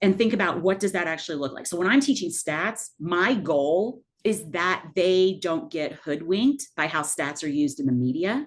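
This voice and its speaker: Very wide pitch swings with hardly any pauses. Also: woman, fairly low pitch for a woman. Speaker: math professor leading faculty training. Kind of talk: workshop presentation. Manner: fast.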